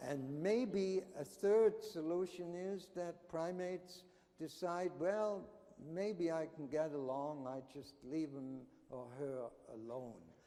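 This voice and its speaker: A man's high voice at a very slow pace, with noticeable background noise and audible room echo. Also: ordinary pitch variation. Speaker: anthropology professor. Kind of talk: conference talk.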